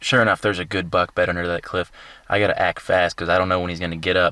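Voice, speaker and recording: A man's very deep, low voice, bright and sharp in tone, dry and close with no echo, on a very clean recording with a silent background. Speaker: bowhunter vlogger. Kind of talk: hunting vlog narration. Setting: outdoors.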